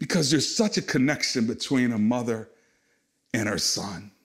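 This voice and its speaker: A man speaks in a medium pitch at a moderate pace. His intonation is lively. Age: 50s. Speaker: pastor. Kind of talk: sermon. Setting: recorded at home for online church.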